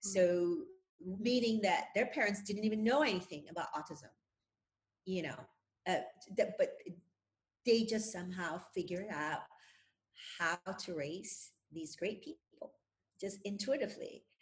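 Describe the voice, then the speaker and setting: A woman with a medium pitch speaks somewhat breathily with lively intonation. Her pace is fairly slow, with long, frequent pauses. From Indonesia. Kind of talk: interview.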